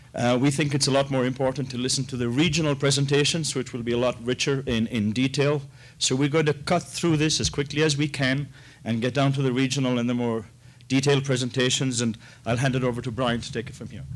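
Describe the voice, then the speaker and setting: A man at medium pitch, speaking at a very fast pace in a monotone, flat intonation. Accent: Irish. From Ireland. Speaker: corporate investor relations representative. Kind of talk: conference presentation.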